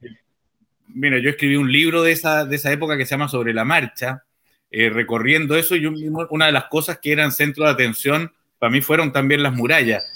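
A man talks with a Chilean accent at a fairly quick pace. His pitch is fairly high and his tone bright and sharp. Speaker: journalist and interview host. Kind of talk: interview. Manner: hesitant.

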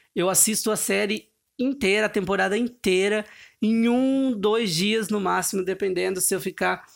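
Delivery proceeds at a moderate speed. Intonation stays fairly even. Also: man, high pitch for a man. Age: 20s. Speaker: podcast host. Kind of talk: casual solo monologue. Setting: bedroom, sitting on floor. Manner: halting.

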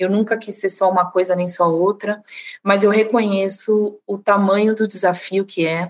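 The woman's intonation stays monotone and flat. She keeps to a moderate pace. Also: medium pitch for a woman. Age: 40s. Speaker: sales director. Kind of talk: casual conversation.

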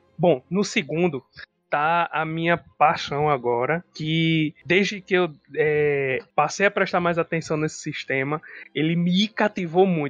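This man's voice sits high in pitch for a man, moving at a moderate pace with fairly even intonation. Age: 30s. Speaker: psychologist and tabletop RPG podcast co-host. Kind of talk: casual chat.

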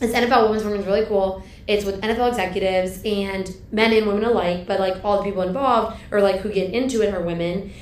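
A woman with an American accent and a normal speaking voice talks fairly quickly at medium pitch with fairly even intonation. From US East Coast. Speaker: university athletics administrator. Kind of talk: casual interview chat.

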